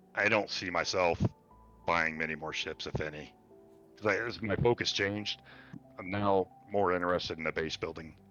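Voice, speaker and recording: Over music in the background, a man with a very deep, low pitch speaks at a moderate pace, using fairly even intonation and long, frequent pauses. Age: 50s. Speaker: retired gamer interviewed on podcast. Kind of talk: casual chat.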